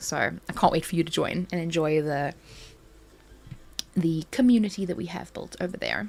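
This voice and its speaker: A woman with a South African accent speaks at a moderate pace with long, frequent pauses. Her fairly low voice has vocal fry and ordinary pitch variation. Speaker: crafting YouTuber. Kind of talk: casual live stream chat. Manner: animated.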